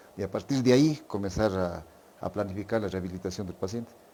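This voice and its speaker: Speaking at a very fast pace, a man with a fairly low pitch has a dark, mellow tone and ordinary pitch variation. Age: 60s. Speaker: physician. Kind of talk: podcast interview.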